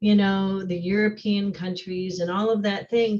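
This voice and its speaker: This woman has a medium-pitched voice. It sounds somewhat breathy. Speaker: social studies teacher. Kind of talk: online workshop discussion.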